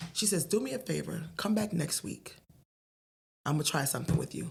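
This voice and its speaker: With a New Jersey accent, a woman talks at a fairly quick pace, her very deep, low pitch carrying vocal fry and lively intonation. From Paterson, New Jersey. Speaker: stand-up comedian. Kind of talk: podcast interview answer, storytelling. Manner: stutters.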